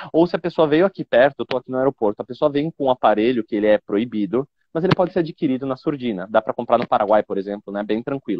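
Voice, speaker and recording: Very fast speech comes from a man. His intonation is lively. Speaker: information security expert. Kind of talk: live stream interview. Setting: airport. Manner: didactic.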